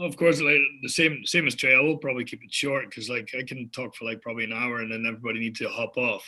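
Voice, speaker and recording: Speaking with a Dutch accent, a man talks at a very fast pace with hardly any pauses. His tone is bright and sharp. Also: medium pitch for a man, ordinary pitch variation. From Netherlands. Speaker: entrepreneur. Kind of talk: panel discussion.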